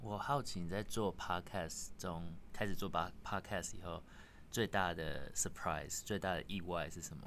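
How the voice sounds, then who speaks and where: This man's voice is very deep and low. He talks at a fairly slow pace with ordinary pitch variation. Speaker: tech startup engineer, guest interviewer. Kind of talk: casual chat.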